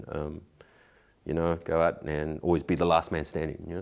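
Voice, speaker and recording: With a very deep, low pitch, a man speaks at a fairly quick pace in a monotone, flat intonation. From Australia. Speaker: actor. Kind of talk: casual chat.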